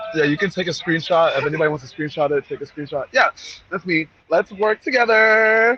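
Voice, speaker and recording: A man's animated, high-pitched voice with lively intonation at a fairly quick pace, in a dry, close sound with no echo. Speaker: speaker on business and fashion networking. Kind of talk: presentation with slides. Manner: fast.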